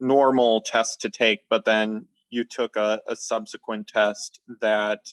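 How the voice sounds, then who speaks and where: Fairly low-pitched man with an American accent at a fairly slow pace, dry and close with no echo. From upper Midwest US, Minnesota. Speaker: sleep coaching client. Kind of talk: testimony interview. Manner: halting, many fillers and repetitions.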